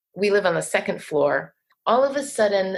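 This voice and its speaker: Her pitch medium, a woman speaks with lively intonation and vocal fry. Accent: American. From New Jersey. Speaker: poet. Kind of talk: casual interview.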